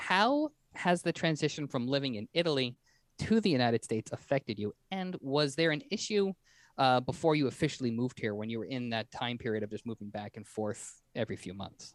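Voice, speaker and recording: Lively intonation marks this man's normal speaking voice, pitched medium and at a fairly quick pace. The sound is dry and close with no echo, on a very clean recording with a silent background. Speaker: podcast host. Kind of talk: interview.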